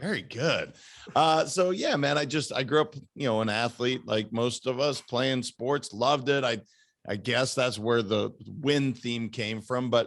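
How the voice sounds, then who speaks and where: An American accent marks this man's unremarkable speaking voice, set at a medium pitch with ordinary pitch variation and a fairly slow pace. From Idaho and Montana, US. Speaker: performance coach. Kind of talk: casual chat.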